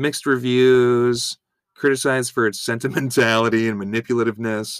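A man's unremarkable speaking voice, medium in pitch and moderate in pace, with a dry, close sound and no echo. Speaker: podcast host. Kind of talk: casual banter recap.

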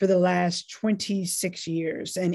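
In a very clean recording with a silent background, a woman with an American accent speaks at a very slow pace. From US South, North Carolina. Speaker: law professor. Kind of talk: interview.

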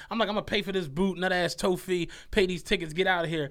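A man speaks in a raised, projected voice at a high pitch with a bright, sharp tone. His delivery is very fast, and the recording is very clean with a silent background. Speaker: podcast co-host. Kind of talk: casual chat. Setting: studio.

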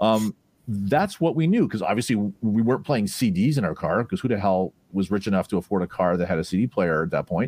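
A man at a very fast pace, with lively intonation and very even loudness. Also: fairly low pitch for a man. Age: 50s. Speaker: hi-fi tech journalist. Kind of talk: casual interview chat. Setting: video call. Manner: halting, many repetitions.

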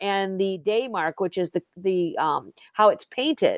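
On a very clean recording with a silent background, a woman with an Upper Midwest accent talks at a fairly slow pace, the sound dry and close with no echo. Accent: Upper Midwest American. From Southwest Michigan (Plainwell). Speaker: author and marketing professional. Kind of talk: interview. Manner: hesitant, many fillers.

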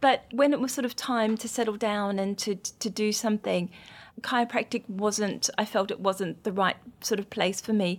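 A woman speaks with an Australian accent. Her intonation is fairly even. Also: moderate pace. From rural Australia. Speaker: acupuncturist and skincare founder. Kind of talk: interview. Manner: calm.

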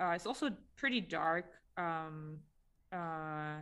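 Here is a woman speaking. Her pitch sits fairly low. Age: 30s. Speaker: podcast co-host, animation artist. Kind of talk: casual chat.

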